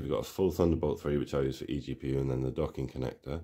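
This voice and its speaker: Over a quiet background, a man with a dark, mellow tone and vocal fry speaks at a very fast pace with fairly even intonation. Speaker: tech hobbyist youtuber. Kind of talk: product show-and-tell commentary. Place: home room.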